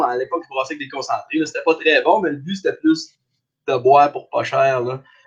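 A man's voice, high in pitch for a man. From Abitibi, northern Quebec. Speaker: craft brewer. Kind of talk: casual chat.

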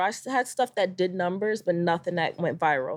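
With an American accent and an unremarkable speaking voice, a woman talks at a medium pitch and a fairly quick pace against a quiet background. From Connecticut, US (New Britain). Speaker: travel content creator and pilot. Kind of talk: casual interview chat.

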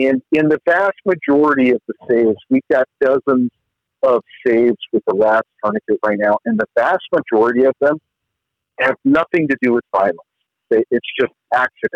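An ordinary speaking voice from a man, medium in pitch, with lively intonation, a moderate pace and very even loudness. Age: 50s. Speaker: former special forces soldier and author. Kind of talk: casual interview.

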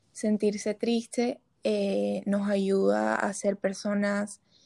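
In a very clean recording with a silent background and a dry, close sound with no echo, a woman speaks at a medium pitch in a dark, mellow tone that is somewhat breathy. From Colombia, Barranquilla. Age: 20s. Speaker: psychology student. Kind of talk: casual chat.

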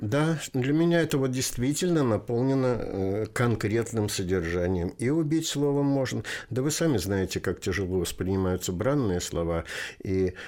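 On a very clean recording with a silent background, a man speaks at a moderate pace in a normal speaking voice. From Russia, Volga region. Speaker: poet and retired teacher. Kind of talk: interview.

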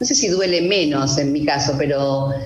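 Over noticeable background noise and audible room echo, a woman talks at a moderate pace. Her voice is very deep and low, with lively intonation. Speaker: witness sharing personal story. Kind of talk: testimony. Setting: video call.

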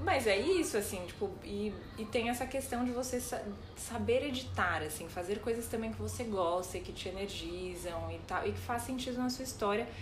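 Music plays in the background as a woman speaks at a moderate pace amid audible room echo. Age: 30s. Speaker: podcast co-host. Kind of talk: casual chat.

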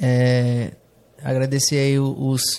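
The man's voice has a dark, mellow tone and a monotone, flat intonation. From Brazil, Rondônia (Jaru). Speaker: fashion entrepreneur. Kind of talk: casual interview chat. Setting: studio, streamed live on Instagram.

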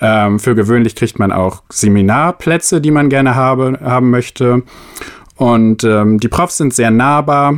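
An unremarkable speaking voice from a man at medium pitch, fairly slow, with ordinary pitch variation and very even loudness. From northern Germany, Oldenburg. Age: 20s. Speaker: master's student. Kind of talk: casual chat.

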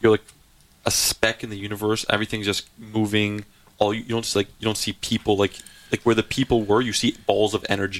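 A man with a Canadian accent speaks fairly quickly in a monotone, flat delivery, with a dry, close sound and no echo. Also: fairly low pitch for a man. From Canada, Surrey, British Columbia. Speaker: nightclub host. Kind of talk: casual chat.

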